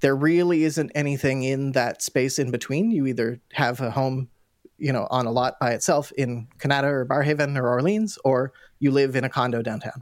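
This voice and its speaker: A man with a Canadian accent and an unremarkable speaking voice talks at a medium pitch and moderate pace, with ordinary pitch variation, in a very clean recording with a silent background. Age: 30s. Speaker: mayoral candidate. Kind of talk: interview.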